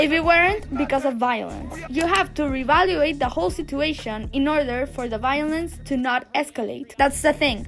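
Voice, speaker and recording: Over music in the background, a woman talks in a high voice with hardly any pauses. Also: ordinary pitch variation, moderate pace. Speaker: YouTuber. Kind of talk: opinion monologue. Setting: outdoors in backyard.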